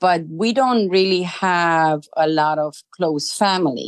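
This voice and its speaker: A woman with a Romanian accent and ordinary pitch variation. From Romania, Arad. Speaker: immigrant interviewee. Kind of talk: interview. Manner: hesitant, many fillers.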